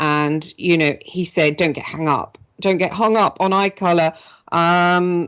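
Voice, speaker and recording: A woman with an English accent speaks at a fairly slow pace, her pitch fairly low. Her intonation stays fairly even over a quiet background. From England. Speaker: radio talk show host. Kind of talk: personal testimony on radio show; radio interview. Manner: hesitant, many fillers.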